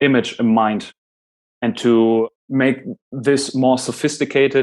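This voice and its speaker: A man at a medium pitch speaks with a German accent and fairly even intonation. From Germany. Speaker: podcast host and presenter on Jungian psychology. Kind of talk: lecture.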